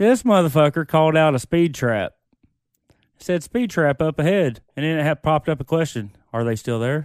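With lively intonation, a plain, everyday voice comes through in a dry, close sound with no echo. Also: man, fairly high pitch for a man. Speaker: podcast guest. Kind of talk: casual chat. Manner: casual, profane.

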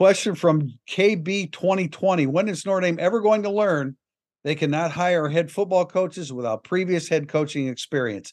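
A man's high voice at a moderate pace, with ordinary pitch variation, against a quiet background. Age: 60s. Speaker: sports podcast host. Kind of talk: casual chat.

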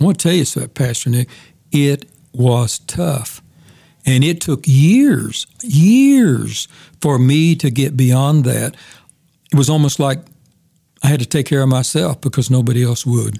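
Somewhat breathy and dark, mellow in tone, the voice moves at a fairly slow pace with long, frequent pauses and ordinary pitch variation. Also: man, fairly high pitch for a man, very even loudness. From US, moved around; born in Oklahoma. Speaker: retired pastor and Bible teacher. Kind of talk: casual interview, personal testimony.

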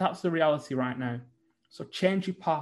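In a northern English accent, a man speaks at a fairly high pitch with ordinary pitch variation. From northern England. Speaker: businessman. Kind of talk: interview.

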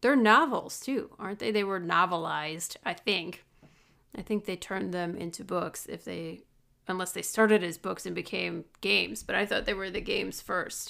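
Speaking at a moderate pace, a woman has a Midwestern American accent. The recording is very clean, with a silent background. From US Midwest. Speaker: podcast co-host. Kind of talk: casual chat.

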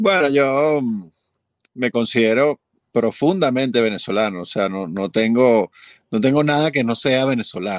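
A man speaks at a medium pitch and a fairly slow pace, with lively intonation. He takes long, frequent pauses against a quiet background. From Venezuela. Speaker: film and commercial composer. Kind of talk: interview.

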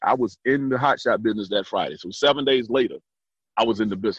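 This recording has a dry, close sound with no echo. A man talks, his pitch moving with ordinary variation. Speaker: trucking business owner. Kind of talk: interview.

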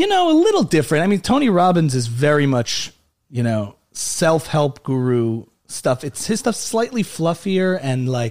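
A man talks at a moderate pace in a fairly high pitch, with a plain, everyday voice. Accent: American. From New Jersey. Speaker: comedian and musician. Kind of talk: casual interview chat.

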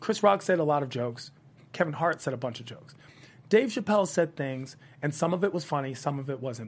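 With an American accent and an unremarkable speaking voice, a man speaks at a moderate pace using lively intonation. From Washington, D.C., US. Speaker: comedian and comedy host. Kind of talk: casual interview chat.

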